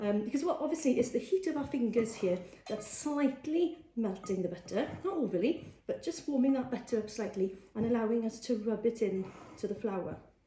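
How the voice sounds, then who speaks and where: Fairly high female voice, fairly quick delivery, pitch leaping very widely. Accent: Welsh. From Wales. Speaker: cookery teacher. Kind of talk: cooking tutorial. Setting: live social media video. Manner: casual, frequent fillers.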